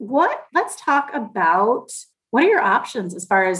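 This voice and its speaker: A woman talks in a normal speaking voice, keeping a moderate pace and lively intonation. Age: 40s. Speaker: financial advisor, podcast co-host. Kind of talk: casual interview chat.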